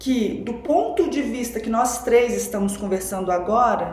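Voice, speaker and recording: Speaking very slowly, a woman has a fairly high pitch and ordinary pitch variation. There's audible room echo and noticeable background noise. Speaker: spiritual teacher and researcher of religion. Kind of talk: podcast interview, explanatory talk. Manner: deliberately slowing down.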